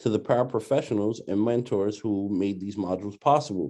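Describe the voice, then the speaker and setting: A man with a New York accent speaks at a moderate pace and a fairly low pitch, his tone dark and mellow. His intonation is fairly even over a quiet background. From New York City (Brooklyn). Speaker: doctoral student presenting a training module. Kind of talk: recorded training presentation. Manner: hesitant, many filler words.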